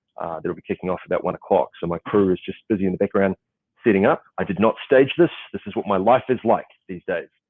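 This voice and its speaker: With a New Zealand accent, a man talks at a very fast pace in a fairly low pitch with ordinary pitch variation. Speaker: event panel moderator. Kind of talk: panel moderation, casual. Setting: video call on location at client office. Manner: halting, many fillers.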